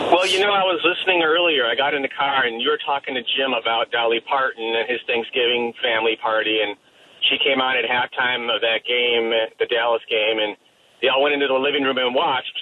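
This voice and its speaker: With a slight Chicago accent, a man of medium pitch talks at a fairly quick pace with ordinary pitch variation, over noticeable background noise. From Chicago, US Midwest (Evergreen Park). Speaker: caller. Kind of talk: radio call-in chat.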